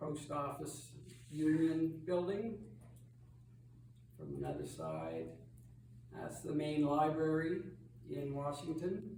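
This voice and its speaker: At a very slow pace, a man talks with long, frequent pauses in audible room echo. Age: old. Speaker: travel presenter at church lunch. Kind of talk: illustrated slideshow talk. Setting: church hall with audience. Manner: loud, projecting.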